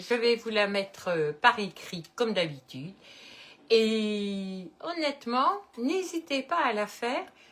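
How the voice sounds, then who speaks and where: Bright and sharp in tone, a woman's fairly high voice moves through very wide pitch swings. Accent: Belgian. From Belgium, Liège-Namur area. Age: 70s. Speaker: cooking video host. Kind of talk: casual chat; cooking tutorial. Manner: casual, hesitant with many euh.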